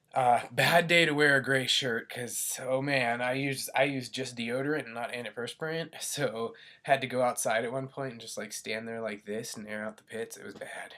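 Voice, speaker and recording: This man's medium-pitched voice has a bright, sharp tone, ordinary pitch variation, big swings in loudness and a moderate pace. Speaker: vlogger and student. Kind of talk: casual vlog. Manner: hesitant, many fillers.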